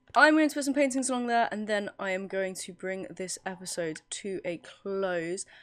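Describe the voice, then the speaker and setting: Speaking with an English accent, a woman keeps a moderate pace with hardly any pauses, lively intonation and big swings in loudness. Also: medium pitch for a woman. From England. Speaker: gaming video creator. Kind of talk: casual gameplay commentary. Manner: relaxed, chatty.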